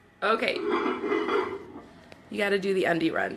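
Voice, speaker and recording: A woman's voice with very wide pitch swings, noticeable background noise and audible room echo. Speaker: makeup seller doing live beauty stream. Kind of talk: casual live stream chat. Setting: home, live video stream. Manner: animated.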